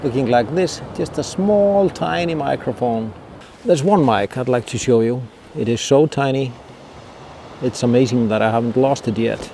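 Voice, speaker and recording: Lively intonation from a man of medium pitch at a moderate pace. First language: not English. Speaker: wildlife photographer. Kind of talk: tutorial. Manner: halting.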